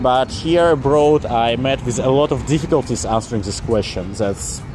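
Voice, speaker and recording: A man in a Russian accent at a medium pitch and moderate pace, with music in the background. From eastern Ukraine. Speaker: vlogger. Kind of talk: casual explainer monologue. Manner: hesitant, with fillers.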